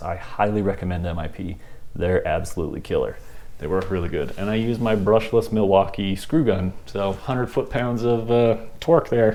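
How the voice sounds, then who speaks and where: A man with a fairly low pitch speaks with ordinary pitch variation. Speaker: RC crawler hobby youtuber. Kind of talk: casual vlog talk to camera. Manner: fast; casual with fillers.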